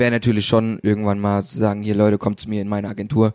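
The man's pitch is fairly low. He talks at a very fast pace. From Hesse, Wetterau. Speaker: graphic designer. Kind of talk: casual chat.

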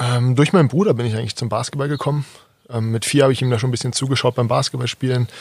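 Somewhat breathy, a man rushes along at a very fast pace with a medium pitch and fairly even intonation. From Berlin (Kreuzberg), Germany. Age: 20s. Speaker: basketball player and coach. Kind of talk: interview. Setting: outdoors on a garden terrace.

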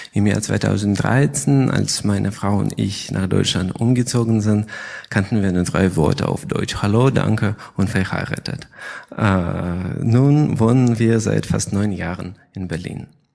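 This man talks at a very slow pace in a fairly low voice. Noticeable background noise runs under his speech. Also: ordinary pitch variation. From Crimea, Ukraine. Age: 30s. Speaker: chemistry researcher, lab head. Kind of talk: prepared statement in panel. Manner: halting, non-native German.

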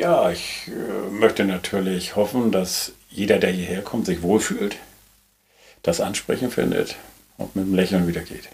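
This man speaks at a fairly slow pace in a fairly low voice. His pitch varies in an ordinary way. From northern Germany, Schleswig-Holstein coast. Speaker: hotel ship owner. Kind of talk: casual interview. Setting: on a moored hotel ship.

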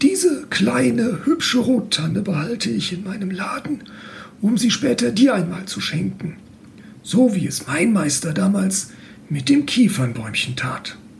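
Against noticeable background noise, a man speaks at a fairly slow pace with long, frequent pauses and very wide pitch swings. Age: 40s. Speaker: mechanical engineer. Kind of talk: reading aloud; casual interview. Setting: room with open window. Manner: halting.

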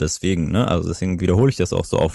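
A man's very deep, low pitch with ordinary pitch variation, in a very clean recording over a silent background. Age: 30s. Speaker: startup co-founder. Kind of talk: interview.

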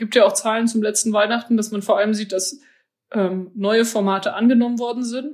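A woman with a fairly high pitch sounds somewhat breathy, her intonation fairly even. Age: 20s. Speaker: church synod president. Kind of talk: interview. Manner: casual, many filler words.

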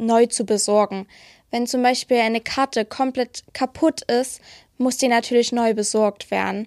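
With a dry, close sound and no echo, a woman speaks very slowly at a high pitch in a monotone, flat intonation. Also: very clean recording, silent background. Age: 20s. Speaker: library apprentice. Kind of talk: interview.

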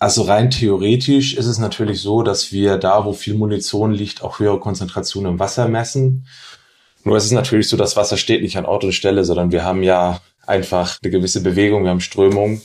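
Fairly low in pitch, a man talks quickly enough in an unremarkable speaking voice, at a fairly quick pace. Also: fairly even intonation. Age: 30s. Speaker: doctoral researcher in toxicology. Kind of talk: podcast interview.

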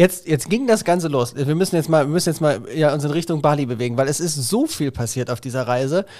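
With hardly any pauses, a man speaks at a very fast pace in a fairly high pitch with ordinary pitch variation. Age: 40s. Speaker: podcast host talking with his ill mother. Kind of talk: casual family conversation.

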